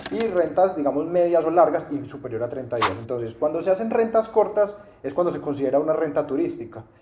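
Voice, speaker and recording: A man talks at a very fast pace with lively intonation and fairly high pitch. Noticeable background noise runs underneath. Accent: paisa. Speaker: real estate investment teacher. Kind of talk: interview, explaining. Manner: hesitant, many fillers.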